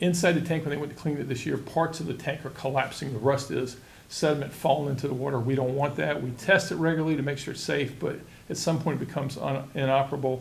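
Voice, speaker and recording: In a room with audible echo, a man talks very fast at a fairly high pitch with fairly even intonation. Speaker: county utilities official. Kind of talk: public meeting presentation. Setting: board meeting.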